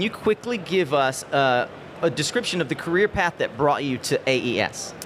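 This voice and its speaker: Over noticeable background noise, a man with a fairly high pitch speaks at a moderate pace with very wide pitch swings. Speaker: conference livestream host. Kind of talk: live event interview hosting. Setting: live stage with audience at conference. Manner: loud.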